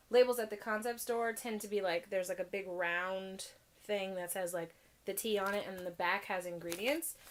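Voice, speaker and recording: Pitch varies in an ordinary way as an ordinary speaking voice talks fairly quickly. Behind it, the background is silent and the recording very clean. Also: woman. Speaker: tea vlogger. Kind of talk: casual vlog review. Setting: filming at home in her room. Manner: chatty with many fillers.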